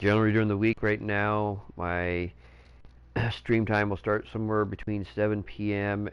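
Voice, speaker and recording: At a fairly low pitch, a man talks fairly slowly. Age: 40s. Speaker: gaming streamer. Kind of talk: casual live stream chat. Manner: hesitant, many filler words.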